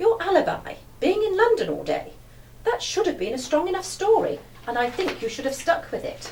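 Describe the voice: Faint background noise sits behind a woman doing a put-on character voice at an extremely high pitch, with very wide pitch swings, vocal fry and a slightly mellow tone. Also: moderate pace.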